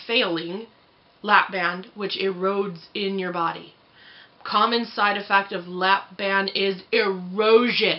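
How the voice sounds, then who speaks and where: A woman speaks at a fairly slow pace in a medium pitch, with noticeable background noise behind her. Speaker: vlogger. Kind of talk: casual vlog. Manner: animated.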